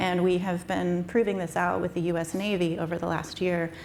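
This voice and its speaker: The speech moves at a fairly quick pace in a flat monotone, with audible room echo and noticeable background noise. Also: woman. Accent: American. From US Southwest. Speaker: startup founder presenting wastewater technology. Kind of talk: conference presentation.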